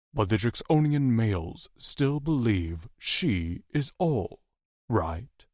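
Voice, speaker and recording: A man puts on a growling character voice at a medium pitch, with very wide pitch swings and very even loudness. He speaks at a very slow pace. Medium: read story. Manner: blunt, gruff.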